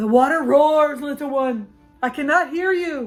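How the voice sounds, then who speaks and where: Putting on a character voice, a woman speaks at a high pitch and a moderate pace with faint music in the background. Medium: read story. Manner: impatient, dismissive.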